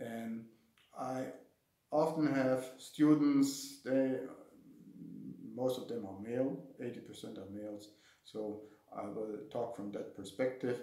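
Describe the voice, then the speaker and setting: With a German accent, a man at medium pitch talks at a very slow pace in fairly even intonation, leaving long, frequent pauses while his loudness swings widely and room echo is audible. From Germany. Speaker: martial arts instructor. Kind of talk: casual talk to camera. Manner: halting, with fillers and repetitions.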